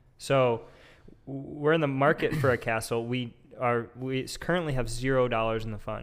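This man has an unremarkable speaking voice, a medium pitch, fairly even intonation, and a moderate pace. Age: 20s. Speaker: podcast co-host, gym worker. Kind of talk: casual chat.

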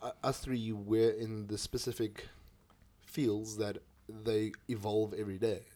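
In a South African accent, the voice moves at a fairly slow pace with monotone, flat intonation. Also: man, fairly low pitch for a man. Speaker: podcast host. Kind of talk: casual chat. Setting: home studio.

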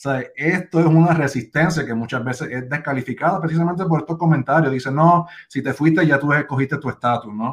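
Somewhat breathy and fairly high-pitched, a man talks at a fairly quick pace with ordinary pitch variation and hardly any pauses. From Puerto Rico (Bayamón). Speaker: campaign strategist, organization co-founder. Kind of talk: interview on live video show. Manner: halting, many repetitions.

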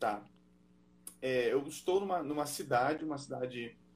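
Somewhat breathy, a man speaks at a medium pitch. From northern Brazil, Belém do Pará. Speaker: missionary pastor. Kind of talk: live video interview.

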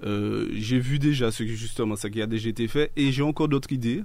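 Ordinary pitch variation in a man's voice of medium pitch. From Martinique. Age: 30s. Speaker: local political activist. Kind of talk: radio interview.

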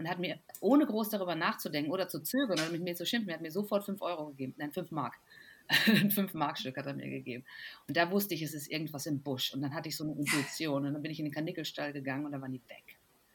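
A woman with a very deep, low pitch speaks at a very fast pace with ordinary pitch variation in a very clean recording with a silent background. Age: 40s. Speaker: physician and health blogger. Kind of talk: casual chat.

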